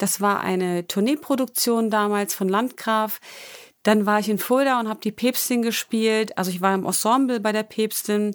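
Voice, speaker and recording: A woman's plain, everyday voice, fairly high in pitch, at a moderate pace with fairly even intonation, on a very clean recording with a silent background. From Thuringia, near Gotha. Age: 30s. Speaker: dancer and online dance instructor. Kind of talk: interview.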